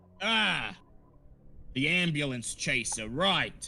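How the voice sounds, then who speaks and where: A gruff, put-on character voice at a very slow pace. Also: man, high pitch for a man. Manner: curt, sarcastic.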